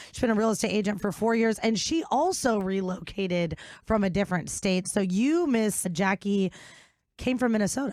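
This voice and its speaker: An animated woman in an American accent, lively in intonation, at a moderate pace and very even loudness, on a very clean recording with a silent background. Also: medium pitch for a woman. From Chicago. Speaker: podcast host. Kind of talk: casual interview.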